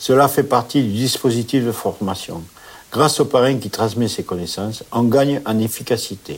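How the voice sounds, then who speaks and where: Here is a man speaking at a medium pitch with ordinary pitch variation. It is a plain, everyday voice. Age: 50s. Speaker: transport operations manager. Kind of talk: interview.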